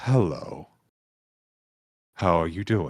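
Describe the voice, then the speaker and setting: A man uses a put-on character voice. The pitch is very deep and low. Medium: actual play. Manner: literal, earnest.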